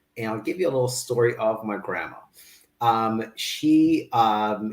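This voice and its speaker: The speaker is a man with a medium pitch. His voice sounds somewhat breathy. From Kazakhstan. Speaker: fitness business owner. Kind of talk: interview.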